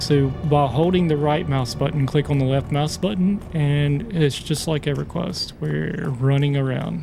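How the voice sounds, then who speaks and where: Music plays in the background, and audible room echo surrounds a man with a fairly high pitch and a relaxed tone. He speaks at a moderate pace with ordinary pitch variation and hardly any pauses. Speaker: gaming YouTuber. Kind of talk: let's play gameplay commentary. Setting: at home, late at night. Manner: casual, relaxed; quiet, keeping voice down.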